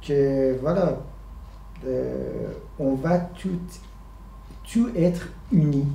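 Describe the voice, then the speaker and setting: Here a man speaks with an Iranian accent. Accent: Iranian (Persian) accent in French. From Iran, Tehran. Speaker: puppeteer. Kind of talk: interview answer. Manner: hesitant, searching for words.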